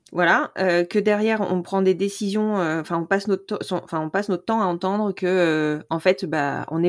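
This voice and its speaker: A woman's medium-pitched voice is heard on a very clean recording with a silent background. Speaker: podcast host and doula. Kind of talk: interview.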